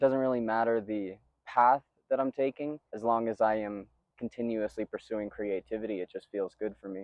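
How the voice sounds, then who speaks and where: With an ordinary speaking voice and an American accent, a man talks at a moderate pace and medium pitch, his intonation fairly even while his loudness swings widely. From New York. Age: 20s. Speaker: movement artist. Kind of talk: interview answers. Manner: casual.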